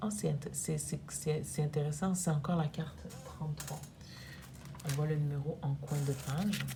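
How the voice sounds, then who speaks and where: A woman speaks at a very slow pace, her loudness very even throughout. Long pauses come often, over noticeable background noise. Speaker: energy therapist. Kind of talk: oracle card reading to camera.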